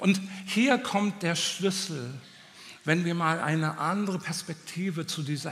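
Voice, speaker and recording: With noticeable background noise, a man talks in a high pitch with ordinary pitch variation. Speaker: preacher. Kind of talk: sermon. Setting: church with audience. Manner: animated, passionate; direct, exhortative.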